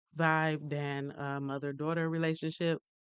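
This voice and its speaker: In a relaxed tone, a woman with a very deep, low pitch speaks at a moderate pace with monotone, flat intonation against a quiet background. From US South (Mississippi) and Detroit. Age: 30s. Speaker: podcast host. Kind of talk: casual personal monologue. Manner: relaxed, many filler ums.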